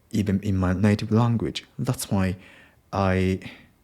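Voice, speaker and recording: A man's very deep, low, dark and mellow voice with a Japanese accent, fairly even intonation and a very slow pace, in a very clean recording with a silent background. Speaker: podcaster, English learner. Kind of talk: unscripted solo podcast monologue. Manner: halting, many fillers.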